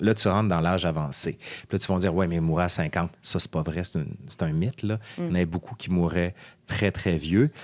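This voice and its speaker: A man's very deep, low voice at a fairly quick pace, with ordinary pitch variation, on a very clean recording with a silent background. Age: 40s. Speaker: historian, professor. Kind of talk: podcast guest conversation.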